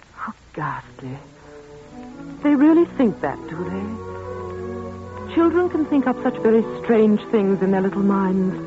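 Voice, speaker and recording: A woman with long, frequent pauses and music in the background. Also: fairly slow pace. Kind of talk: old-time radio drama performance. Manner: shocked, sympathetic.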